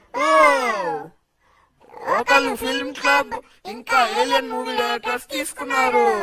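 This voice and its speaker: The speaker uses a put-on character voice. Delivery comes at a fairly slow pace. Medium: fan dub. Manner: lively, announcer-like.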